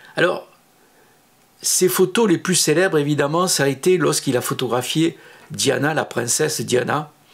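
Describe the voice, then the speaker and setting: A man with a southern French accent, fairly high in pitch, at a moderate pace with ordinary pitch variation, very even loudness and long, frequent pauses. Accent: southern French (Midi). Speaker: photographer, former studio assistant. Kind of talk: personal recollection monologue. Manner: hesitant, many filler sounds.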